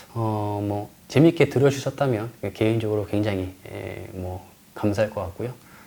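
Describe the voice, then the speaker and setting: Fairly low in pitch with a dark, mellow tone, a man's voice shows ordinary pitch variation and big swings in loudness. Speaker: lecturer and tour guide. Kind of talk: online lecture. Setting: recorded in front of a camera. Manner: fast.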